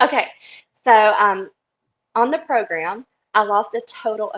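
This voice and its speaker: Animated in tone, a woman with a Southern US accent speaks at a fairly high pitch with lively intonation. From US South, South Carolina. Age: 40s. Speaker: interviewee sharing health story. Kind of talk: interview testimony.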